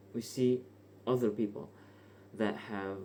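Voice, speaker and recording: A man with a non-native accent speaks in a dark, mellow tone. His pitch is fairly low, with ordinary variation. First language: not English. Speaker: vlogger. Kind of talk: casual unscripted monologue. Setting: bedroom at night. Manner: hesitant, casual.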